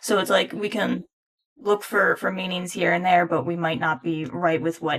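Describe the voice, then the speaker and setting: The pace here is moderate. The speaker is a woman. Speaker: music commentator, classically trained horn player. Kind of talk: casual video commentary. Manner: halting, rambling speech.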